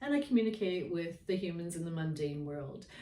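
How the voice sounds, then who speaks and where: Audible room echo surrounds a woman's voice. She talks at a fairly quick pace with a fairly low pitch. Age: 60s. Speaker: spiritual storyteller, shaman. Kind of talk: casual monologue to camera. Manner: hesitant, many fillers.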